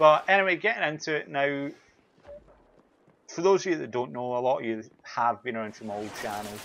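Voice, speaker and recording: Over noticeable background noise, a man talks at medium pitch. He keeps a fairly quick pace and lively intonation. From Scotland, Glasgow with teen years in Birmingham. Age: 20s. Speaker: gaming YouTuber. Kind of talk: casual vlog talk over gameplay.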